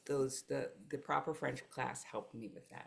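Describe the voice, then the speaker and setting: A woman speaks with a Mid-Atlantic US accent. Her pace is moderate and her pitch variation ordinary. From US East Coast, Philadelphia and New Jersey suburbs. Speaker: life coach. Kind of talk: interview.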